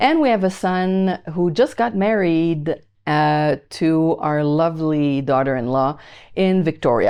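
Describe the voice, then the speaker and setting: With a slight Quebec accent, a woman speaks at a fairly slow pace and a fairly low pitch. Her intonation is lively, and her loudness stays very even. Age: 60s. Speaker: YouTuber teaching AI to over-50s. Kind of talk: casual talk to camera.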